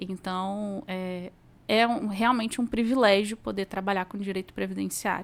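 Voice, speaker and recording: On a very clean recording with a silent background, a woman speaks at a medium pitch. Her pace is moderate and her intonation monotone and flat. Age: 30s. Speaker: social security law mentor. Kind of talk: podcast interview.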